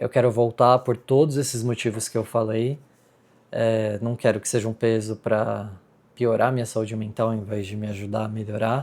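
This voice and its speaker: Speaking in a Brazilian accent, a man with a medium-pitched voice keeps a monotone, flat intonation at a moderate pace. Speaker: vlogger. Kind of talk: casual vlog talk to camera. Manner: hesitant, many fillers.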